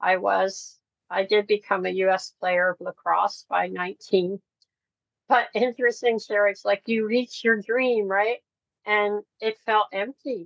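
A plain, everyday voice moves at a fairly slow pace with fairly even intonation. The sound is dry and close, with no echo. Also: woman, medium pitch for a woman. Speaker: ministry founder and worship leader. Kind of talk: testimony. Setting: podcast interview.

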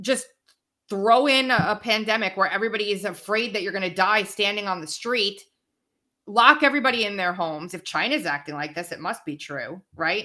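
A woman with an American accent, medium pitch, a bright, sharp tone, lively intonation and a fairly quick pace, on a very clean recording with a silent background. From New York (Long Island, Brooklyn, Queens). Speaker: podcaster and commentator.

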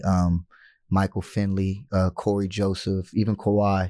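With an American accent, a man speaks at a moderate pace in a very deep, low voice, dark and mellow in tone and flat in intonation. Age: 30s. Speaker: former pro basketball player and youth coach. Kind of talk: interview.

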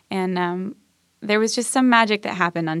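In a very clean recording with a silent background and a dry, close sound with no echo, a woman talks at medium pitch. She has a plain, everyday voice with ordinary pitch variation. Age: 30s. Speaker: singer-songwriter. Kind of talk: casual chat. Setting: studio.

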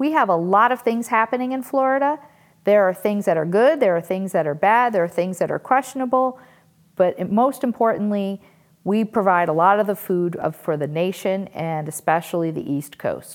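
A woman speaks with an American accent in an ordinary speaking voice. Her pitch is medium, her intonation lively and her pace moderate. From Western Massachusetts, US. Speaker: podcast host. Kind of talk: scripted podcast intro.

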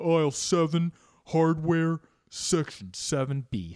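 A put-on character voice at a middle pitch. It moves at a very slow pace.

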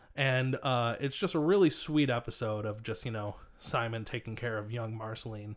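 An ordinary speaking voice belongs to a man at medium pitch, with ordinary pitch variation and a moderate pace. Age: 30s. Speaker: returning podcast guest. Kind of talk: casual chat. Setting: in a van.

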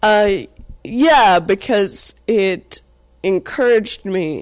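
A woman with an American accent and ordinary pitch variation, on a very clean recording with a silent background. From US South, Atlanta. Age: young. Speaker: comedian. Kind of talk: casual chat.

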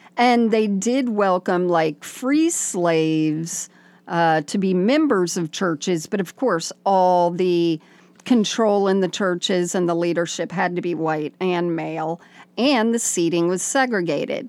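On a very clean recording with a silent background, a woman at medium pitch talks fairly slowly with ordinary pitch variation. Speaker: podcast host. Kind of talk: casual chat.

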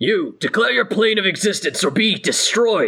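A man's put-on character voice, gruff and high-pitched, at a moderate pace. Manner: threatening, commanding.

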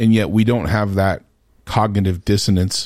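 A man with a normal speaking voice, fairly low in pitch, with fairly even intonation and a moderate pace, on a very clean recording over a silent background. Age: 40s. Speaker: medical podcast host, healthcare worker. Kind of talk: casual chat. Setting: studio.

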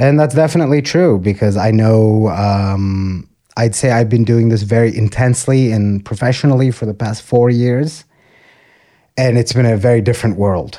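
In a very clean recording with a silent background, a man with a slight Texan accent speaks at a moderate pace, his medium-pitched voice dark and mellow with ordinary pitch variation. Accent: American English, slight Texan. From Texas, US (Austin). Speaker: stand-up comedian. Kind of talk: casual interview chat.

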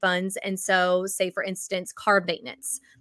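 A woman with a Southern accent at medium pitch, bright and sharp in tone, dry and close with no echo on a very clean recording with a silent background. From US South (Georgia). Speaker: budgeting coach and author. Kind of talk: interview.

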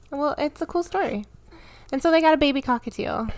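A woman with a Midwestern American accent speaks with lively intonation. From US Midwest, Michigan. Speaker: podcast co-host, mother. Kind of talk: casual chat. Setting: home.

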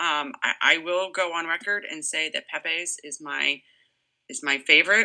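In a very clean recording with a silent background, a woman with an American accent speaks in a normal speaking voice, fairly low in pitch at a moderate pace. Her pitch varies in an ordinary way, while her loudness swings widely. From Massachusetts. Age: 40s. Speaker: state representative. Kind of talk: interview.

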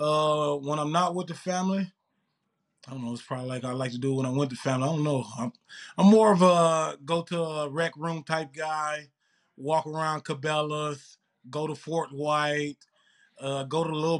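Against a silent background, the recording sounds very clean. Intonation remains fairly even. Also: man, fairly high pitch for a man, moderate pace. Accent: Mississippi. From Mississippi, US South. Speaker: pro football player. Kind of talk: casual interview.

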